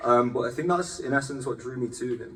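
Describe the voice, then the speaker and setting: Very fast speech from a man, noticeable background noise behind. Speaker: actor. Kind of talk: panel discussion. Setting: stage with audience.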